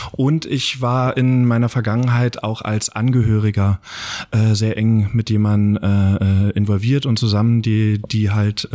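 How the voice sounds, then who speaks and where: A man talks at a fairly slow pace in a fairly low pitch. His tone is dark and mellow, with fairly even intonation. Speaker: film director. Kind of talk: interview.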